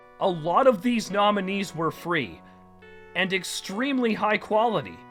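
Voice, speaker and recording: The voice carries an angry tone at a fairly slow pace. Music sounds in the background. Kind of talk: awards show presenter, ranting comedic. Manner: angry, sarcastic.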